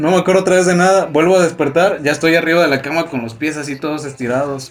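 A man with a Mexican accent at a high pitch and very fast pace, ordinary pitch variation, noticeable background noise. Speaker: podcast host. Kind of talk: casual chat. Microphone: far from the mic.

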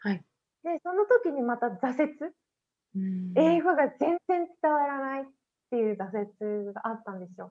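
With very wide swings in her high pitch, a woman talks at a moderate pace. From Japan, Hiroshima Prefecture countryside. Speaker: podcast interview guest. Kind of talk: casual interview chat. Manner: casual, frequent fillers.

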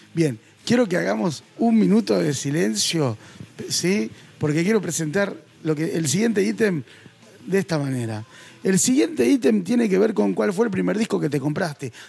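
With a Rioplatense accent, a man speaks at a moderate pace and a fairly high pitch, his pitch swinging very widely. Noticeable background noise is present. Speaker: podcast host. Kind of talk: casual chat.

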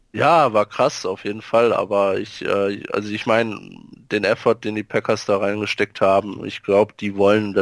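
Fairly low in pitch, a man talks at a fairly quick pace with monotone, flat intonation, in a dry, close sound with no echo. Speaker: podcast co-host. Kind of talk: casual chat.

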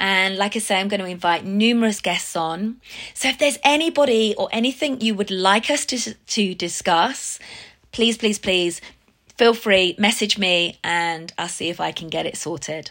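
Lively intonation marks a woman speaking in an English accent. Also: very clean recording, silent background. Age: 50s. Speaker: fitness business owner. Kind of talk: personal testimony.

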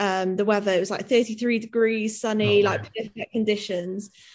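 Against a quiet background, a woman with a Welsh accent speaks at a moderate pace and medium pitch in a monotone, flat intonation. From Mid-Wales. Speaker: professional athlete. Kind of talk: interview. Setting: video call.

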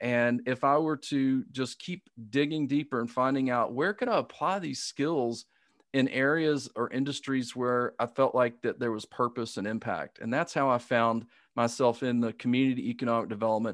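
A man with a Southern US accent speaks at a moderate pace and medium pitch, with ordinary pitch variation and a dry, close sound with no echo. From US South. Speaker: business coach. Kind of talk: interview answers. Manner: halting, hesitant.

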